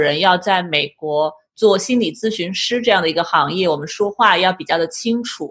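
The intonation is lively and the pace moderate in a very clean recording with a silent background. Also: woman. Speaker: podcast host, clinical psychologist. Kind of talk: interview.

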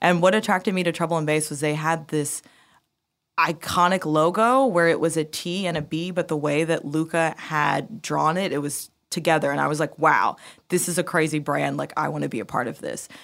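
Vocal fry runs through a woman's very deep, low voice as she speaks in an American accent at a fairly quick pace with ordinary pitch variation, in a very clean recording with a silent background. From United States. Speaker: music marketing executive. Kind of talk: interview. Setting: studio.

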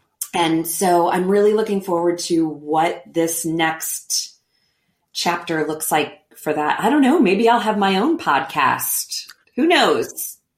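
A woman in an American accent speaks at a very slow pace and a fairly low pitch. Her pitch varies in an ordinary way and her loudness stays very even. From Missouri, St. Louis. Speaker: stage actress. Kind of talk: casual interview chat.

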